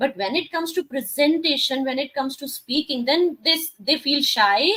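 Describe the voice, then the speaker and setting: A woman talks at a moderate pace. She has a Punjabi accent. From India, Rajasthan (Punjabi family). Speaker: life coach and talk show host. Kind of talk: interview talk show.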